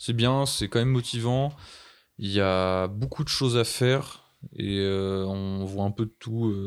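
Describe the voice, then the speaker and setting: Speaking very slowly, a man with a fairly low pitch shows ordinary pitch variation. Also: very clean recording, silent background. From Brittany, France. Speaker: seasonal ski resort worker. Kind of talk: casual chat.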